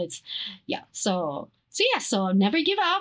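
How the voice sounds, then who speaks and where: A woman speaks with a Filipino accent. The background is quiet. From Philippines. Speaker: actress and dancer. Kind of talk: interview. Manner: halting, many fillers.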